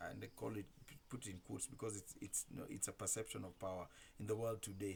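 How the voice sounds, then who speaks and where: A man talks at a fairly quick pace with fairly even intonation. His very deep, low voice sounds somewhat breathy. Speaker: commentator. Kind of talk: monologue. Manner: halting, with many repetitions.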